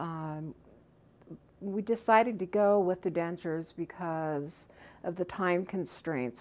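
Her delivery comes at a fairly slow pace, a woman with ordinary pitch variation. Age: 50s. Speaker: dental patient. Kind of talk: testimonial interview answer. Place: studio.

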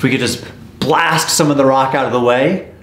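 A man talks at a very fast pace with ordinary pitch variation. Audible room echo surrounds his voice. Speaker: vlogger exploring old mines. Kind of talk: casual vlog chat. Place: shop.

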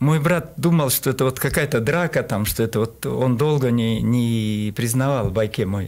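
Speaking at a moderate pace with a Kyrgyz accent, a man keeps very even loudness and ordinary pitch variation. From Kyrgyzstan, Talas region; Kyrgyzstan. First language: Kyrgyz (speaking Russian). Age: 70s. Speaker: qigong master; radio guest. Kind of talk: interview. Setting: studio. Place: studio. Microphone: studio mic.

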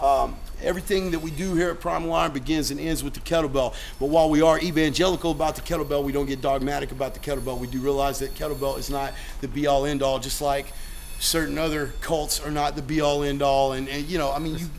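A man speaks at a very fast pace in monotone, flat intonation. Light background noise is present. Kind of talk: casual gym tour talk. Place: gym. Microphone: phone near.

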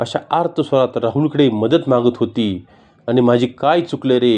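Ordinary pitch variation runs through this unforced reading voice.

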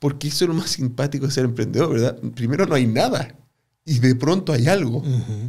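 Somewhat breathy, a man speaks at a moderate pace with ordinary pitch variation against a quiet background. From Chile. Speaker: business professor and entrepreneur; business professor. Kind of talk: interview. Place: studio. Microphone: studio mic.

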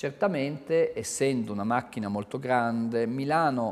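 A man at a medium pitch with very wide pitch swings, speaking at a fairly slow pace. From Italy. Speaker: architect and university professor; university professor. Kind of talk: interview. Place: office.

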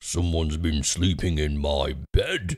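Putting on a growling character voice, a man speaks at a fairly slow pace with a very deep, low pitch.

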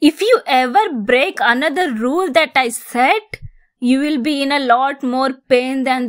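A woman speaks with a high pitch and lively intonation. The recording is very clean, with a silent background. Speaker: ASMR roleplay creator.

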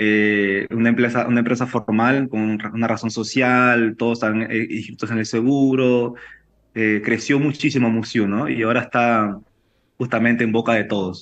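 A man talks in a monotone with flat intonation and very even loudness. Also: moderate pace. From Peru. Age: 30s. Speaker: chef and restaurant owner. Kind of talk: interview. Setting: video call. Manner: halting. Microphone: video call.

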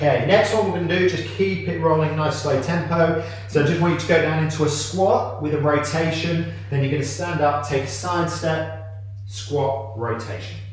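A man at a moderate pace, with strong room echo and light background noise. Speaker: fitness coach. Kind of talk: workout instruction. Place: gym. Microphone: camera far.

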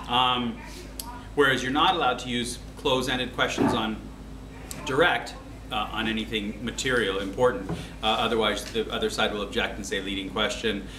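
A man at a moderate pace with long, frequent pauses, amid noticeable background noise. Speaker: teacher. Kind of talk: lecture. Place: classroom. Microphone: camera far.

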